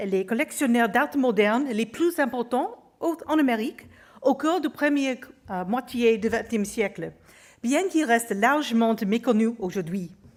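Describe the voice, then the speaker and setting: Her high voice moves at a fairly slow pace, the woman's intonation lively. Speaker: museum curator. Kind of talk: conference lecture. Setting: auditorium with audience. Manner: halting, with hesitations.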